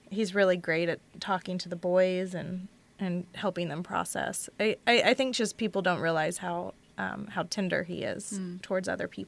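A woman speaks at a medium pitch and a moderate pace, in an unremarkable speaking voice. Her intonation stays fairly even, and the recording is very clean with a silent background. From Texas, Houston. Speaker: university instructor. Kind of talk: casual chat.

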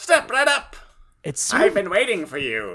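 The pitch sits fairly high. It is a put-on character voice. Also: moderate pace. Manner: eerie, showman-like.

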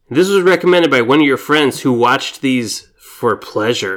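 Using a plain, everyday voice, a man keeps a moderate pace and lively intonation. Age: 30s. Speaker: podcast co-host. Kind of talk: casual chat.

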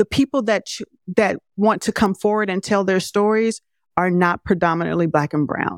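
A woman speaks at a moderate pace in a plain, everyday voice, her medium pitch showing ordinary variation, recorded dry and close with no echo on a very clean track with a silent background. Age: 50s. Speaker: filmmaker. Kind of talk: interview.

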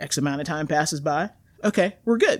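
A woman with an American accent speaks in a very deep, low voice. Her pitch rises and falls in an ordinary way. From US South, coastal North Carolina. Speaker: university band director. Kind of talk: casual interview. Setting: in-person studio.

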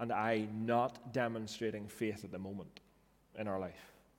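A man speaks with a Northern Irish accent at a medium pitch. His pace is fairly slow. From Northern Ireland. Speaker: pastor. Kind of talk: sermon. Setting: church.

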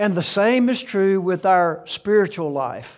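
A man with a Southern US accent speaks very slowly at a high pitch with ordinary pitch variation. The recording is very clean, with a silent background. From US South, South Alabama. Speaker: pastor. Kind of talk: sermon.

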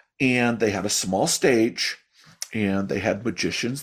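An ordinary speaking voice from a man with an American accent, medium in pitch, at a fairly slow pace. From Chicago. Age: 50s. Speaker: magician. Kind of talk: casual chat. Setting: video call.

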